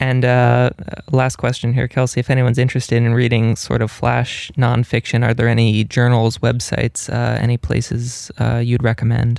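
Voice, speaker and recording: A man speaks at a moderate pace and medium pitch. His intonation is monotone and flat. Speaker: graduate student interviewer. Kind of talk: interview. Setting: radio studio.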